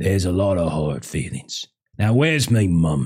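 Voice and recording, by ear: Putting on a character voice, a man speaks at a low pitch with big pitch swings, a slightly husky edge and a slightly mellow tone. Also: fairly slow pace.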